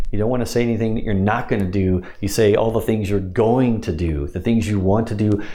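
Hardly pausing, a man talks at a very fast pace with a fairly low pitch while background noise is noticeable. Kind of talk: instructional talk about hypnosis scripts, with trance-induction wording.

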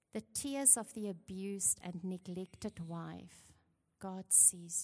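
In a somewhat breathy voice of medium pitch, a woman speaks very slowly with ordinary pitch variation. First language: not English. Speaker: women's ministry speaker. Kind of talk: sermon. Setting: church with worship team.

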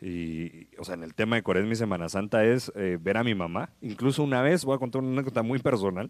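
In a very clean recording with a silent background, a man with a fairly low pitch races along at a very fast pace, barely pausing, his intonation lively. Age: 30s. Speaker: radio host. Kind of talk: casual chat.

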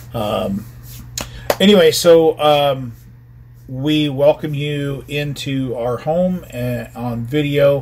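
A man talks at a very slow pace, leaving long, frequent pauses. His loudness swings widely, and background noise is noticeable. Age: 50s. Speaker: pastor. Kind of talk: bible study. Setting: home video livestream.

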